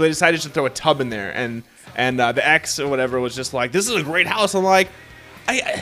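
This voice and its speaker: Over music in the background, a man talks at a very fast pace in an animated tone, with fairly high pitch and lively intonation. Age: 30s. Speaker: video game podcast host. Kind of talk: casual chat.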